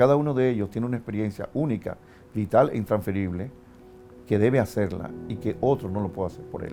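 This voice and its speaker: A man talks at a fairly quick pace in a medium pitch, with ordinary pitch variation and big swings in loudness. Music plays in the background. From Dominican Republic. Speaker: philosopher and university professor. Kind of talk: interview answer.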